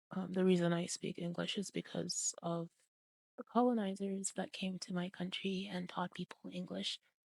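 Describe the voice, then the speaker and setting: A woman's medium-pitched voice, flat and monotone, at a fairly slow pace, with a dry, close sound and no echo. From Zambia. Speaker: English teacher. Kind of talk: tutorial. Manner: casual, with frequent fillers.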